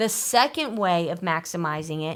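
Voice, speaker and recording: Speaking at a moderate pace, a woman with a plain, everyday voice uses lively intonation. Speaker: financial planner, show host. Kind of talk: radio call-in style financial advice talk.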